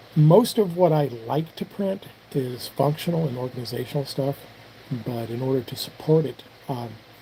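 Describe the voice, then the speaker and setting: A man's medium-pitched voice, varying in pitch in an ordinary way, moves at a moderate pace amid noticeable background noise. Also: long, frequent pauses. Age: 60s. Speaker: firearms reloading and 3D printing hobbyist streamer. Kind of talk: casual live stream chat. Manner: halting, many fillers and repeats.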